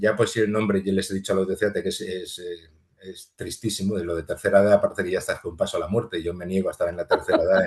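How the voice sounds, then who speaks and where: A man at a very fast pace, hardly any pauses, big swings in loudness. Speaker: physicist and museum volunteer guide. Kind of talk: interview conversation. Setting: podcast recording.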